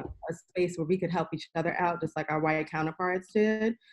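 A woman with a New York accent speaks in a fairly low pitch. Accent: New York City. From New York City, Queens. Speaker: sports business professional. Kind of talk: casual interview. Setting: remote call.

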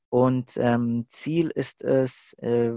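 This man talks at a medium pitch. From Germany, Stuttgart. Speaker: youth leader and film student. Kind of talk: interview. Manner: hesitant, many fillers.

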